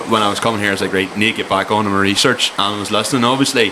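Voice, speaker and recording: Over noticeable background noise, a man with a Cork accent speaks very fast in a fairly low, monotone, flat voice. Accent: Cork Irish. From Ireland, Cork. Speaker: podcast host. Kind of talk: casual chat.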